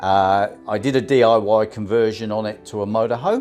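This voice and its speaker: A man with a Southern English accent speaks at a fairly slow pace and a fairly low pitch. His pitch variation is ordinary, and music plays in the background. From Southampton, England. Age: 50s. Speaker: van dweller and cycle tourer. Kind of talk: casual talk to camera.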